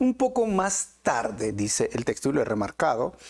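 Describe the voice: Very wide pitch swings from a man of medium pitch at a moderate pace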